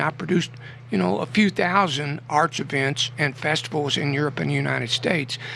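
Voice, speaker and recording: Over noticeable background noise, the speaker moves at a fairly quick pace with lively intonation. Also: man. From Kentucky, Adair County. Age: 60s. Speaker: poet. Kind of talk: radio interview. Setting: radio studio. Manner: animated.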